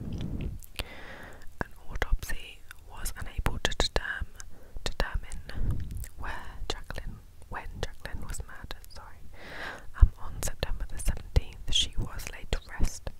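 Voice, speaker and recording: A woman whispers at a fairly slow pace. Her loudness swings widely. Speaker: ASMR storyteller. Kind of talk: whispered true crime storytelling. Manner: whispered, soft. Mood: somber, gentle. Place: home room. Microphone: lapel.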